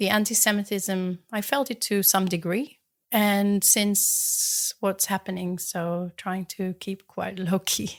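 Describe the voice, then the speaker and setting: Someone with an Israeli accent speaks very slowly with fairly even intonation on a very clean recording with a silent background. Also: woman. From Israel, Jerusalem. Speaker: metal artist. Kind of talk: interview.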